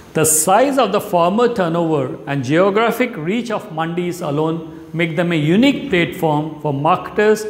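A man's high-pitched voice with ordinary pitch variation, fairly slow in pace, with audible room echo. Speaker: presenter. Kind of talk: explainer presentation. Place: studio. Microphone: lapel.

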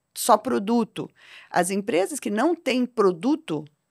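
Pitch swings very widely as a woman talks at a fairly slow pace. Behind her, the background stays quiet. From Brazil, Londrina (Paraná); Paraná, Brazil. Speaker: technology executive and board advisor; podcast guest. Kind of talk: podcast interview. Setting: studio. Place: studio. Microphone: studio mic.

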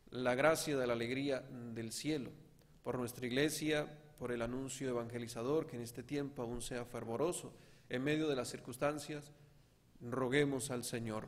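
The pace here is moderate. A man talks with fairly even intonation. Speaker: priest. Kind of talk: prayer intentions at mass. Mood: calm, solemn. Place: church. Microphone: podium.

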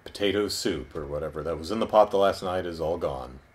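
A man speaks at a very deep, low pitch. His intonation is lively. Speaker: video reviewer. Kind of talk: review commentary. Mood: wry, amused retelling. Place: home room. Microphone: camera far.

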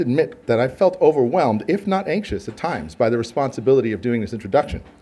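A man speaks very fast with an American accent, his pitch sitting in the middle range. His dark, mellow tone swings very widely in pitch. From US West Coast, southern California (Downey); California. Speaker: marine scientist; host introducing the lecturer. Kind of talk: formal speaker introduction. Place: hall. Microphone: podium.

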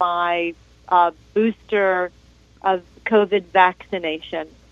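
A woman's voice, dry with no echo, over a quiet background. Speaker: caller. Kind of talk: call-in question. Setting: phone call. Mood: concerned, polite. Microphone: phone line.

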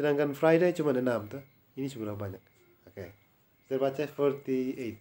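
A man talks at a fairly quick pace and a medium pitch in an ordinary speaking voice. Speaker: English tutor. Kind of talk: private language lesson.

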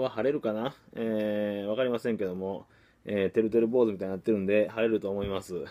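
A man with a dark, mellow tone talks at a fairly quick pace. His pitch varies in an ordinary way over a quiet background. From Kagawa, Japan (Takamatsu); Kagawa, Japan. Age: young. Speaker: marketing coach, copywriter; online course host. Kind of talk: motivational vlog monologue; casual daily vlog talk. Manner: many filler hesitations (え, あのー). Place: home room. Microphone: phone near.

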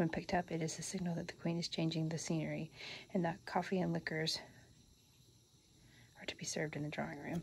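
Soft-spoken, with vocal fry and a fairly low pitch, a woman talks very fast in an American accent, in a monotone, flat intonation broken by long, frequent pauses. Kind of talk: casual show-and-tell to camera, reading card text aloud. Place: home room. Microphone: phone near.

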